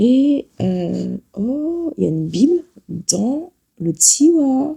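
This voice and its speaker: A woman speaks very slowly in a dark, mellow tone. Her pitch swings very widely, broken by long, frequent pauses. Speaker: travel vlogger. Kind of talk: casual vlog talk. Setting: hotel room.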